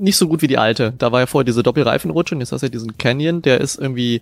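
A man's voice with music in the background. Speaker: music producer, podcast co-host. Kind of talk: casual chat. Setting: video call. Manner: loud.

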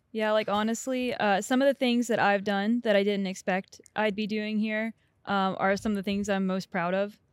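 A woman's medium-pitched voice with an American accent at a moderate pace, dry and close with no echo. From US South, Atlanta, Georgia. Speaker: flight software engineer. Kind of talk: casual chat.

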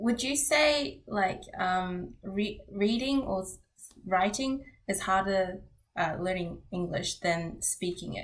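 A woman talks at a very slow pace in a somewhat breathy voice. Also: medium pitch for a woman, lively intonation. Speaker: tech podcast co-host. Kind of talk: casual chat.

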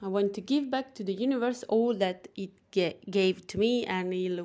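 A woman with a dark, mellow tone, ordinary pitch variation, and an Italian accent. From Italy. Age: young. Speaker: personal trainer and wellness podcaster. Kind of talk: casual monologue. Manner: animated; halting.

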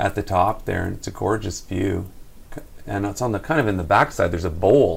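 Somewhat breathy and fairly low in pitch, a man's voice moves at a fairly quick pace with ordinary pitch variation. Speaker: co-host of podcast. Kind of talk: casual interview chat.

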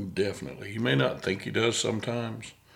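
Vocal fry runs through this man's fairly low-pitched voice. He speaks at a moderate pace. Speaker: podcast host. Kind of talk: casual interview. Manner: halting, stutters at times.

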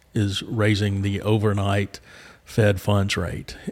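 At a very slow pace, a man with a fairly low pitch talks in a Southern US accent. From Arkansas, Little Rock. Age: 50s. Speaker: commercial banker. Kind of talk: interview. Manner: hesitant, many fillers.

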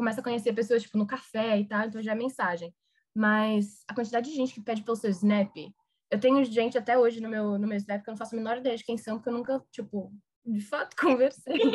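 Very fast and somewhat breathy, a woman speaks at a fairly high pitch with fairly even intonation. The recording is very clean with a silent background. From Brazil. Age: 20s. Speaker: recent university graduate. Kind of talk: casual interview.

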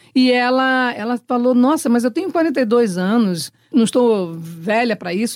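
Lively intonation marks this woman's fairly high voice, a plain, everyday voice. She speaks at a moderate pace, and the sound is dry and close with no echo. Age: 60s. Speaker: actress. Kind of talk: interview.

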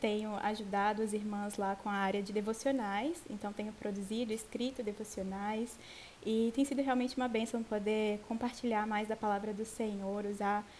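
A woman's monotone, flat delivery at a moderate pace, against noticeable background noise. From Brazil, Vitória, Espírito Santo. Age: 20s. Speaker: Bible teacher in women's ministry. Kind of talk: Bible study conversation.

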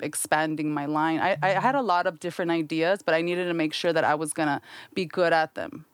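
A woman speaks in a normal speaking voice, fairly low and with fairly even intonation at a fairly quick pace. The recording is very clean with a silent background, and the sound is dry and close with no echo. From US, Mexican-American family. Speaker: soap and candle entrepreneur. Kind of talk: casual chat.

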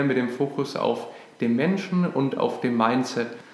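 A man speaks at a moderate tempo amid noticeable background noise and audible echo from the room. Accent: Franconian. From Franconia, Nuremberg, Germany. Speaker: podcast co-host, business founder. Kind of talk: casual podcast introduction.

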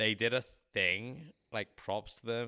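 A man with an English accent speaks at a fairly slow pace in a fairly low pitch. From England. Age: 30s. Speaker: musician. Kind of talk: casual chat.

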